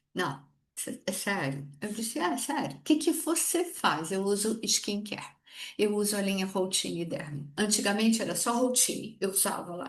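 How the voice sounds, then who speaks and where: A woman speaks at a moderate pace and a medium pitch, with very wide pitch swings. Her voice is somewhat breathy, and the background is quiet. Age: 60s. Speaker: direct sales consultant. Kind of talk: sales training talk. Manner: animated.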